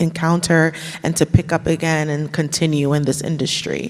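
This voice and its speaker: At a moderate pace comes a plain, everyday voice. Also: woman. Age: 30s. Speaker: jazz vocalist. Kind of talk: casual panel interview.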